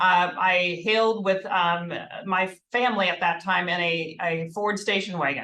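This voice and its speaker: A woman's bright, sharp voice at medium pitch in an American accent, with a moderate pace, fairly even intonation and audible room echo. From Minnesota. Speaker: healthcare HR executive. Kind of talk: corporate presentation.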